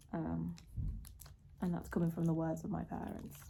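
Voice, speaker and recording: The speaker talks at a fairly quick pace with a Liverpool accent. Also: woman. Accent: local accent near Liverpool. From Merseyside area, northern England. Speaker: vlogger. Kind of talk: casual vlog talk to camera. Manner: halting, many fillers.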